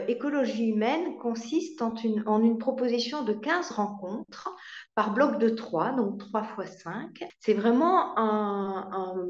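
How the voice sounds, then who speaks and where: A woman speaks at a very slow pace in a fairly high voice, her pitch swinging very widely, with audible echo from the room. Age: 60s. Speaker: marriage and family counselor. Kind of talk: testimony. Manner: hesitant, with fillers and repetitions.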